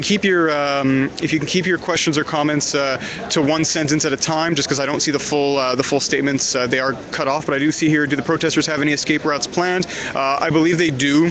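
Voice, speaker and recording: A man talks at a fairly quick pace with very even loudness and a fairly high pitch. Noticeable background noise runs behind him. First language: French. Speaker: journalist. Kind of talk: live stream reporting. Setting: outdoors. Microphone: phone mic.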